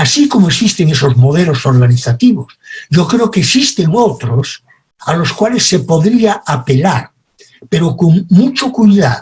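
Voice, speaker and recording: A man at high pitch with very wide pitch swings, at a fairly slow pace. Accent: Spanish. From Spain. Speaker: communication expert. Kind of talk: lecture.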